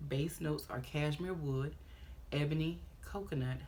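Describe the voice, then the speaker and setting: A somewhat breathy voice moves at a fairly slow pace with fairly even intonation, and room echo can be heard. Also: woman. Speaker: fragrance reviewer. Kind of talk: product review video. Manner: casual.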